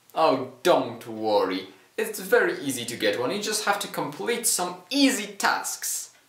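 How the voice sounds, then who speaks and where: A man speaks at a fairly slow pace with audible room echo around him. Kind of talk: comedy sketch dialogue. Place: home room.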